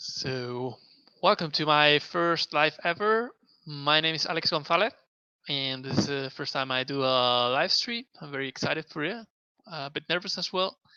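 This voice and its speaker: A man with a Spanish accent speaks at a moderate pace and fairly high pitch, his bright, sharp tone showing ordinary pitch variation in a dry, close sound with no echo. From Spain. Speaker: mixed reality video producer. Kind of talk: live stream tutorial. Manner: halting.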